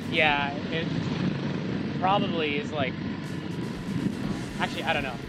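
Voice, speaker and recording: A man with long, frequent pauses, in a dry sound with no echo over loud background noise. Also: moderate pace. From Philippines, Bacolod City. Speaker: travel vlogger. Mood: relaxed, uncertain. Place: motorbike. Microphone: camera far.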